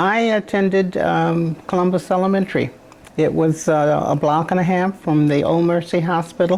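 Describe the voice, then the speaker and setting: Her intonation is fairly even, and this woman speaks with an American accent at a fairly low pitch. Noticeable background noise runs underneath. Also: moderate pace, very even loudness. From southwest Michigan, US. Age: 90s. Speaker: retired educator and community figure. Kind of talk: oral history interview. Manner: halting.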